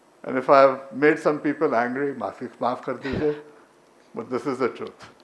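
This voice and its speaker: With noticeable background noise behind him, a man speaks at a moderate pace in a fairly high pitch. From India. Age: 70s. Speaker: professor. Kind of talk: conference talk and Q&A.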